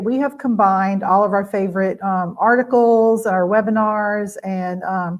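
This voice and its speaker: A woman with a Louisiana accent, medium in pitch, with ordinary pitch variation. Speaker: educator presenting on virtual tours. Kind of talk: webinar presentation. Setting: live stream webinar. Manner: casual, many filler words.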